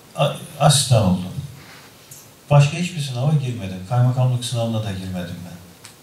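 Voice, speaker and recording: Lively intonation and big swings in loudness mark this fairly quick delivery, broken by long, frequent pauses, with audible room echo and light background noise. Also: man. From Kocaeli, Turkey; Turkey. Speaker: provincial governor and economist; guest. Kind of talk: university talk with students. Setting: university hall with audience. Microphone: podium.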